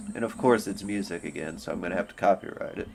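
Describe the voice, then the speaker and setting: Noticeable background noise runs behind a man as he talks. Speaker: livestreamer. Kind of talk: casual livestream chat. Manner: casual, rambling with fillers.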